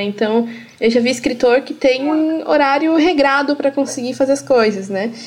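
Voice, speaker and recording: A woman with a high pitch and lively intonation at a fairly quick pace, over noticeable background noise. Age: 20s. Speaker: podcast host. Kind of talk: interview. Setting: video call.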